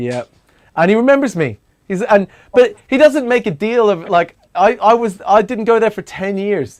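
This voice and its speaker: An animated tone with lively intonation at a moderate pace. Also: man, high pitch for a man. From Australia. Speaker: talk show host. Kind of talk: casual chat. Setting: live stream.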